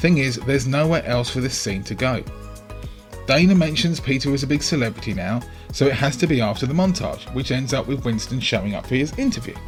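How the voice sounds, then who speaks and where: Very fast speech from a man at medium pitch, ordinary pitch variation, music in the background. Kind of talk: film analysis commentary.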